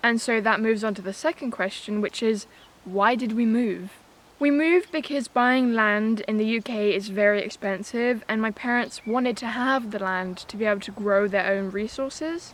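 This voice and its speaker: Here is a woman with a British accent. Her pitch is fairly high and her pace moderate. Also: ordinary pitch variation. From England. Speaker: homesteading vlogger. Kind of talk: casual chat.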